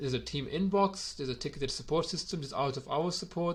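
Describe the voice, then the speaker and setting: A man talks at a very fast pace with vocal fry and ordinary pitch variation. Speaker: gym owner reviewing software. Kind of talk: software review video. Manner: hesitant, many fillers.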